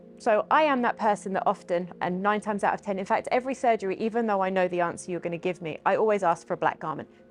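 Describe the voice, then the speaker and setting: Very fast speech with hardly any pauses, ordinary pitch variation and music in the background. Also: woman, medium pitch for a woman. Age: 40s. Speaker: social media influencer and former model. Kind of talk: podcast interview.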